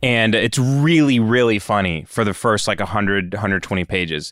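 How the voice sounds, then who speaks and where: Speaking at a fairly quick pace, a man with an unremarkable speaking voice and a fairly low pitch uses lively intonation in a very clean recording with a silent background. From West Texas. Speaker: film producer. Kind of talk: casual chat.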